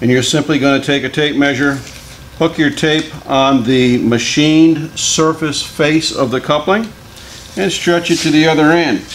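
In a room with audible echo, a man speaks fairly slowly at a fairly high pitch with ordinary pitch variation.

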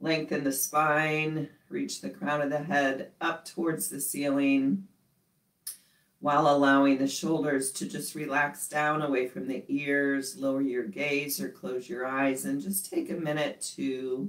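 Her voice very deep and low, a woman speaks at a fairly slow pace with ordinary pitch variation, audible room echo and a quiet background. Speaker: yoga instructor. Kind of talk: guided class instruction. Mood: calm, gentle. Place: home room. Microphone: camera far.

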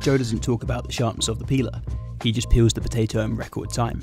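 Over music in the background, a man talks at a very fast pace in a very deep, low voice with very wide pitch swings, the sound dry with no echo. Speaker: video narrator. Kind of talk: explanatory commentary.

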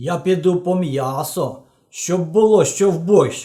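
Putting on a character voice, a man speaks at a high pitch and a fairly slow pace. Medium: read story.

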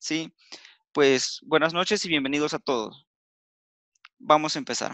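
A bright, sharp tone at a fairly slow pace, dry with no echo, over a quiet background. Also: man. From Mexico, Veracruz. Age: 20s. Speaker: business presenter; presenter. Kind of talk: sales pitch. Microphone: video call.

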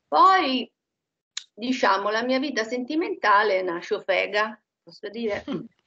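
Against a quiet background, a woman speaks at a fairly slow pace in a fairly high, bright, sharp tone, with very wide pitch swings. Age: 60s. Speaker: hypnosis session client. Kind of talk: personal testimony; interview answer. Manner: halting. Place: home room. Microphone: echo from computer volume; headset.

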